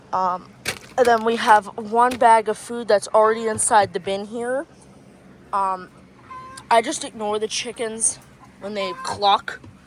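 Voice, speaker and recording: A woman speaks at a fairly slow pace with a fairly high pitch and fairly even intonation, her loudness swinging widely. Long pauses come often, and background noise is noticeable. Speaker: small-animal keeper vlogger. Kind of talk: casual vlog tour. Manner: hesitant, many fillers.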